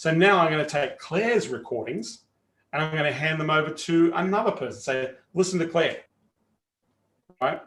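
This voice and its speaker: A man with an Australian accent and a fairly high pitch talks at a moderate pace with lively intonation. He takes long, frequent pauses. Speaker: sales coach. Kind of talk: live training webinar. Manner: casual, animated.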